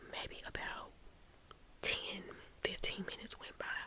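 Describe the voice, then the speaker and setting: A woman whispers fairly quickly, with noticeable background noise behind her. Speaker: ASMR storyteller. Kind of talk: ASMR storytime. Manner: soft, whispered.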